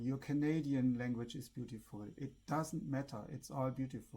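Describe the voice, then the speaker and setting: With a German accent, a man speaks at a moderate pace in a fairly high pitch. His tone is dark and mellow, and his intonation stays fairly even. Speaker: spiritual vlogger. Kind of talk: casual monologue to camera.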